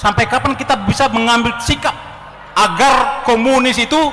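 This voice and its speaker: Over noticeable background noise, a man talks in a raised, projected voice at an extremely high pitch and a moderate pace. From Ternate, North Maluku. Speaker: former army officer. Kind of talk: audience question at a public forum. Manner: halting, with fillers.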